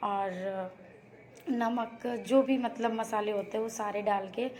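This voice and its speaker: This woman speaks at a fairly high pitch. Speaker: family vlogger. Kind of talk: cooking vlog. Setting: home kitchen. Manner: casual, hesitant fillers.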